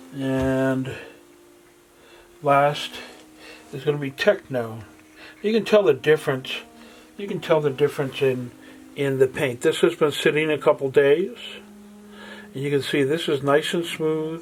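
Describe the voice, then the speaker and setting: A man speaks fairly slowly at a fairly high pitch, with ordinary pitch variation. His long pauses come often, and there is noticeable background noise. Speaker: acrylic pouring artist. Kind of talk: tutorial. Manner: halting.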